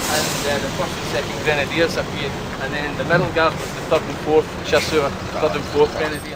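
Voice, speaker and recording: A man in a Glaswegian accent at a moderate pace, with noticeable background noise. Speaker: battlefield tour guide. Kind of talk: guided tour talk. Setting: outdoors on a battlefield. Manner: animated.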